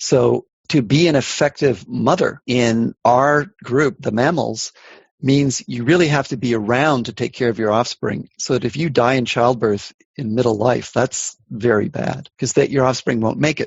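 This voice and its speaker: An unremarkable speaking voice from a man at medium pitch, with ordinary pitch variation, at a moderate pace. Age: 60s. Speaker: evolutionary biology professor. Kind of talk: interview.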